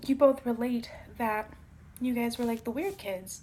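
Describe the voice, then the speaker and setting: A soft-spoken woman talks at a moderate pace. Her pitch is high, with ordinary pitch variation. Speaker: tarot reader. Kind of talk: tarot reading. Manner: casual.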